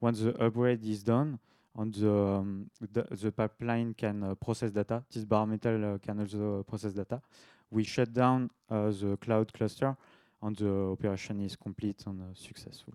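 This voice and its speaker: Heard on a very clean recording with a silent background and a dry, close sound with no echo, a man with a slight French accent speaks at a moderate pace, his fairly low voice dark and mellow in tone and monotone with flat intonation. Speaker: devops engineer, conference speaker. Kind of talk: tech talk presentation; casual Q&A in French. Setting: meetup talk to live audience. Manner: halting, many filler sounds.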